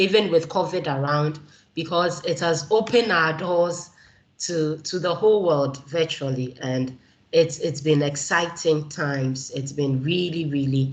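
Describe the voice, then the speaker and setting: With a Ghanaian accent, a woman talks in a very deep, low voice that is somewhat breathy, with ordinary pitch variation. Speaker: keynote speaker, community organizer. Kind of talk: keynote speech.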